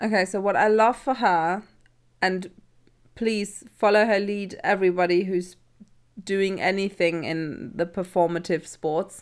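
In an ordinary speaking voice, a woman talks at a fairly slow pace with medium pitch and fairly even intonation. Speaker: teacher and podcast host. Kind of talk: casual chat.

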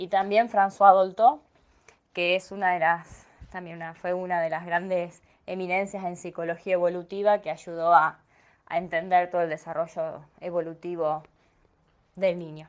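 Her intonation stays monotone and flat. The woman's pitch is fairly low. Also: moderate pace, big swings in loudness. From Argentina, small town in Santa Fe province. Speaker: educational psychologist and lecturer. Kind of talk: interview, travel story.

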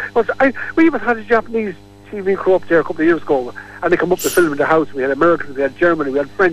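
Talking at a very fast pace, a man with a Kilkenny accent has a high pitch and lively intonation. Background noise is noticeable. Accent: Irish, Kilkenny. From Kilkenny, Ireland. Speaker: local character, Elvis fan. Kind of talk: radio interview. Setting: phone line. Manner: animated.

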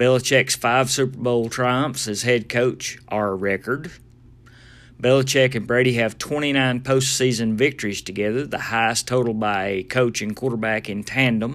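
Speaking at a moderate pace and medium pitch, a man keeps his intonation fairly even. The recording is very clean, with a silent background. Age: 50s. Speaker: podcast host. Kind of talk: casual solo podcast. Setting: mobile studio.

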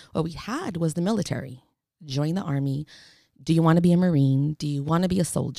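Very fast and very deep, a woman's voice comes through with a dark, mellow tone. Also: ordinary pitch variation. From San Francisco, Mission District. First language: Spanish. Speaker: social worker and small business owner. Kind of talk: casual interview.

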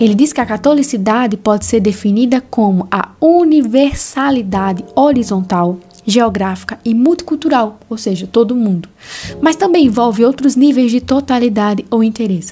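Animated and with lively intonation, a woman with a fairly high pitch speaks at a moderate pace over noticeable background noise. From Brazilian Northeast, interior. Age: 20s. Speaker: podcast host, theology student. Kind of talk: casual podcast monologue with Bible reading.

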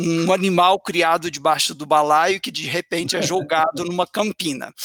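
Pitched high for a man, his voice has a bright, sharp tone and fairly even intonation. He speaks at a fairly slow pace, and the sound is dry and close with no echo. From interior of Minas Gerais, Brazil (Patos de Minas). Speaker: university professor. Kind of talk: interview.

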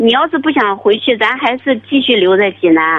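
A woman's voice with very wide pitch swings. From China, Shandong (Jining). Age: 30s. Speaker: caller. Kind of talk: phone-in advice call. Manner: hesitant.

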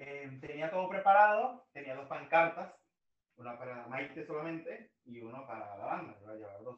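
A man with an unremarkable speaking voice talks at a moderate pace with lively intonation. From Venezuela (Maracay). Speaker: music fan guest. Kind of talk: casual interview chat.

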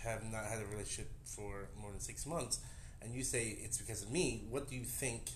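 A man with an American accent at a medium pitch, somewhat breathy, moderate in pace, with fairly even intonation. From New Jersey. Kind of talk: casual chat. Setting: drinking at home. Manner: halting.

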